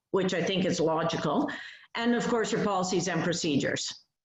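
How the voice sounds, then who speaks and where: Audible room echo rings around a woman whose pitch varies in an ordinary way. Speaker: privacy advisor. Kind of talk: webinar presentation.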